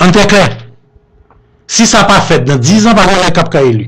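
Very wide pitch swings mark this man's speech, which unfolds at a fairly slow pace. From Haiti. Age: 60s. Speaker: businessman and politician; politician. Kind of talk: radio interview. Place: studio.

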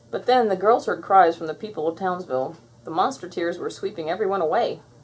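A woman with a fairly low pitch and a husky, rough edge talks at a fairly quick pace, her pitch varying an ordinary amount.

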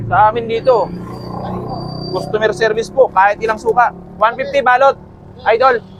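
Long, frequent pauses from a man with a high pitch, over noticeable background noise. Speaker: street food vendor and vlogger. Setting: outdoors at a roadside stall near a school. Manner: fast, loud and upbeat, rattling off orders and prices, cheerful banter with customers.

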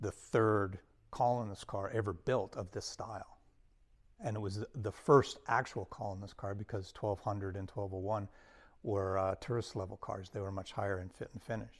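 Against a quiet background, a man talks in an unremarkable speaking voice, fairly low in pitch, with fairly even intonation. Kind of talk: interview answer. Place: hall.

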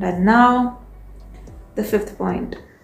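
Room echo can be heard around the voice. It belongs to a woman. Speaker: vlogger. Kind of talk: casual vlog chat. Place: home room. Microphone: phone near.

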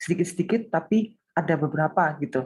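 The voice is somewhat breathy. The background is quiet. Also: woman. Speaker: small business owner, participant. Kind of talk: interview answer. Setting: video call. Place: home room. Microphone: video call.

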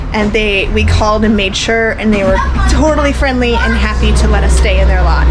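Music plays in the background as a woman speaks. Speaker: RV travel vlogger. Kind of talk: casual vlog chat. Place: home room. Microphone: phone near.

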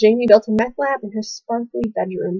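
At a moderate pace, the voice sounds somewhat breathy with fairly even intonation, in a quiet background and a dry sound with no echo. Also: woman. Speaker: college student. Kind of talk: poetry reading. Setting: webcam recording. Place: home room. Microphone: webcam.

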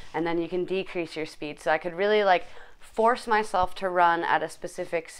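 The woman's pitch sits fairly low, and she uses a normal speaking voice whose intonation stays fairly even. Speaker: fitness vlogger. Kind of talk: casual vlog chat. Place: home room. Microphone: phone near.

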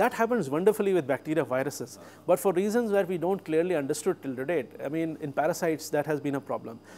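Over light background noise, a man with a dark, mellow tone and fairly high pitch rushes along at a very fast pace with hardly any pauses, lively intonation and big swings in loudness. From India. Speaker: biotechnology professor and malaria researcher; biotechnology professor. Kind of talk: interview. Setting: research lab. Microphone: lapel.

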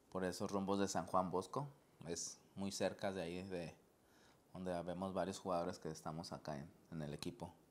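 With long, frequent pauses, a man talks at a moderate pace in a very deep, low pitch and fairly even intonation. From Mexico, Guadalajara, Jalisco. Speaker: professional indoor soccer player. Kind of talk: interview. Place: studio.

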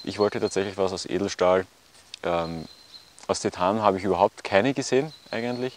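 A man speaks in a low pitch with ordinary pitch variation. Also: moderate pace.

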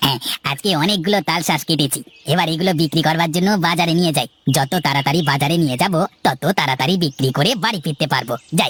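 This cartoonish character voice moves at a moderate pace with very even loudness. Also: man, fairly high pitch for a man. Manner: friendly, eager to please.

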